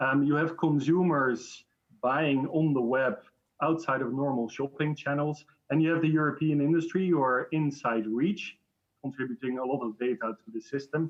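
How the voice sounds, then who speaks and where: A man with a Dutch accent, fairly high in pitch, at a moderate pace. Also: fairly even intonation. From Netherlands. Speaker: industry association director. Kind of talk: online panel debate. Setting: video call.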